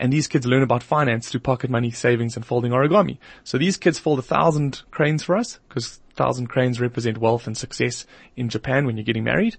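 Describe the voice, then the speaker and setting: A man's medium-pitched, somewhat breathy voice at a very fast pace, with ordinary pitch variation. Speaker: marketing company founder. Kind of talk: radio interview.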